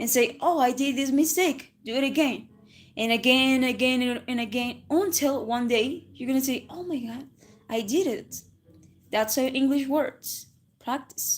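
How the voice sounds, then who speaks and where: A woman with a Spanish accent, high in pitch, at a fairly slow pace with ordinary pitch variation. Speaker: English teacher. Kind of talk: livestream English lesson. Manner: casual, with self-corrections and restarts.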